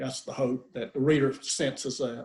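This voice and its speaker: A man with a strong Southern US accent, medium in pitch and dark and mellow in tone, at a moderate pace. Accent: southern US accent, kept strong. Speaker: author. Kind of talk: author Q&A interview. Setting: video call. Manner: halting, many repetitions and fillers.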